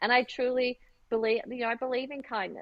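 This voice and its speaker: A woman with an Australian accent and a high pitch for a woman speaks at a moderate pace. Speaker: fashion designer and business owner. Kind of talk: interview.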